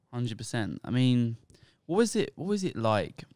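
A man with a British accent and a medium pitch at a moderate pace, lively in intonation, with a dry, echo-free sound and a quiet background. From England. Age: 20s. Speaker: podcast host, recent university graduate. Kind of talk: casual podcast chat and interview. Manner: hesitant, repeats words. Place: home room. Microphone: handheld.

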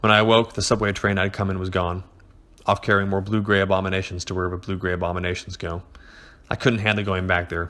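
Fairly low in pitch, a man has a bright, sharp tone and a monotone, flat intonation. He talks at a very fast pace. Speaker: horror story narrator. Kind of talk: dramatic horror story reading.

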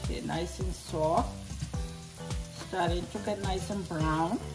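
A woman talks fairly slowly. Clear music sounds behind her. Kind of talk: cooking tutorial. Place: kitchen. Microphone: phone near.

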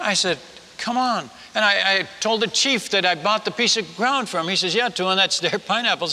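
A raised, projected voice with an animated, warm tone. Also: man. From Netherlands. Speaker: missionary preacher. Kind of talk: humorous testimony-style sermon to a live audience, telling a story. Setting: stage with audience. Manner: animated, humorous storyteller, warm and self-deprecating. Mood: humorous yet earnest. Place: stage.

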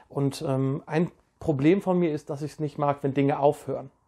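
The man's voice sits fairly high, its pitch varying in an ordinary way, and the background is quiet. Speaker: poetry slam poet and organizer. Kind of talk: poetry slam performance, spoken word. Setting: home setup, private video recording. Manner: rhythmic, wordplay-driven, animated delivery; casual, friendly. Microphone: lapel.

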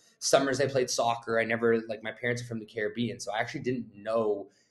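Against a quiet background, a man talks at a very fast pace in a flat monotone. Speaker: guest. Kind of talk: interview answer. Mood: reflective, earnest. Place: office. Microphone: video call.

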